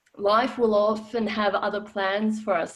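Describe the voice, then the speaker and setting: Speaking at a fairly high pitch, a woman talks in an Australian accent. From former Yugoslavia. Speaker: financial educator. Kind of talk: webinar talk. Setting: online webinar.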